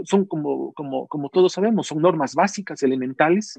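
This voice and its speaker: A man's voice comes through in a dry, close sound with no echo. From Ecuador, Loja. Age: 40s. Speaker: business executive. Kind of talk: interview. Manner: hesitant, many fillers.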